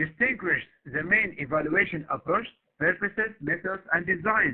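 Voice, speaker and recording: Pitched high, this man's voice shows ordinary pitch variation. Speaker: university lecturer. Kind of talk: recorded lecture. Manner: slow; halting, many fillers.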